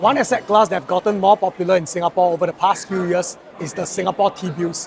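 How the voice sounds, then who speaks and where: A man rattles off his words at a very fast pace and high pitch while noticeable background noise plays. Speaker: podcast host. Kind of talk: podcast intro.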